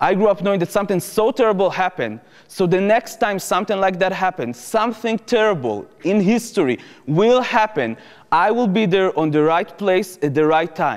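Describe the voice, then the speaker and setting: Music plays in the background as a man with an Israeli accent speaks at a high pitch. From Israel, Jerusalem. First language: Hebrew. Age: 20s. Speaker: former soldier turned activist speaker. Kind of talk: lecture.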